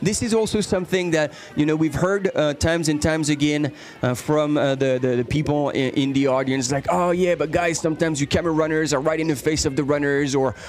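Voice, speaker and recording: A man with a French accent speaks at a fairly high pitch with ordinary pitch variation and very even loudness, music playing in the background. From France. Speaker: live race commentator. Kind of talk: live commentary. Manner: halting, many repetitions.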